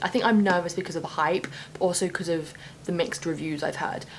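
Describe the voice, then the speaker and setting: A woman talks at a very fast pace with a fairly low pitch. Noticeable noise sits in the background. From UK. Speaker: booktuber. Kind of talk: casual vlog talk. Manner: animated.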